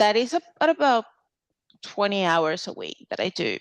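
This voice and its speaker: With a Venezuelan accent, a woman is heard in a dry, close sound with no echo against a quiet background. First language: Spanish. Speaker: clinical dietitian. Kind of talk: podcast interview.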